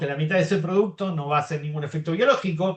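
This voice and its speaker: This is a man speaking. His pitch is high. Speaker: molecular biologist, researcher. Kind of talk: academic Q&A.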